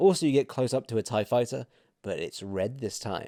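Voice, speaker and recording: A man's dark, mellow voice at a moderate pace with lively intonation, in a very clean, silent recording with a dry, close sound and no echo. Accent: British. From Britain. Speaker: theme park reviewer, YouTuber. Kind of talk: scripted video narration. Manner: casual, humorous narration.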